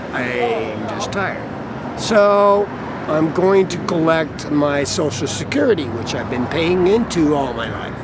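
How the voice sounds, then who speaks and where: In a room with audible echo and noticeable background noise, a man with an American accent speaks fairly slowly at a fairly high pitch with lively intonation. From US Mountain West (Idaho). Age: 60s. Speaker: homeless carpenter. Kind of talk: interview.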